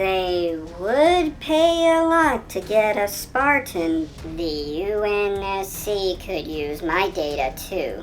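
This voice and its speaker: A put-on character voice, female-sounding, swings very widely in pitch at a very slow pace with hardly any pauses. Background noise is clearly audible. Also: medium pitch for a woman. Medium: solo performance. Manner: brisk, confident.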